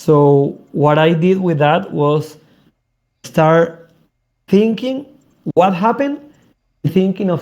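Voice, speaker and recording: Using a Spanish accent, a man with a high pitch, dark, mellow tone and lively intonation moves at a very slow pace with long, frequent pauses. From South America. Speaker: crypto project founder. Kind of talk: interview. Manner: halting.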